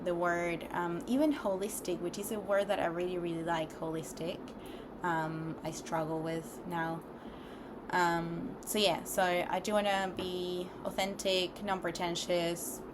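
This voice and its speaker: With a non-native accent, a woman speaks fairly slowly at a fairly low pitch, using ordinary pitch variation. The room echo is audible. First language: not English. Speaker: vlogger. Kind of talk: casual monologue vlog. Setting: recording alone on camera. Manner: hesitant, many fillers.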